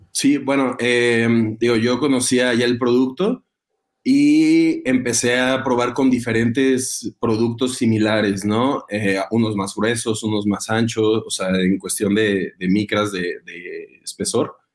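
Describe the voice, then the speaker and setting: Talking very slowly, a man uses a medium pitch with ordinary pitch variation. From Mexico, Guanajuato. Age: 20s. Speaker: agricultural product developer, industrial engineer. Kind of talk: interview. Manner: hesitant, many fillers.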